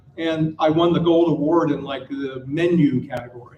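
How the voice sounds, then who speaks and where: Over noticeable background noise, a man with an American accent speaks in a high pitch. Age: 60s. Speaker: panel speaker, designer and founder. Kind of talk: conference panel talk. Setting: stage with audience. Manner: animated storytelling.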